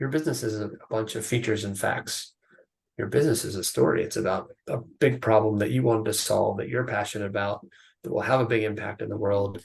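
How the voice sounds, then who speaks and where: A man speaks very fast with an American accent and vocal fry. His pitch is fairly low. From United States. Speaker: biotech CEO and investor. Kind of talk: podcast interview.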